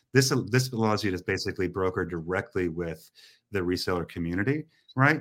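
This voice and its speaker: On a very clean recording with a silent background, a man with a US Midwestern accent speaks at a fairly quick pace, his very deep, low pitch carrying lively intonation. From US Midwest, Indiana. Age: 40s. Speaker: retail technology entrepreneur. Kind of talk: interview conversation.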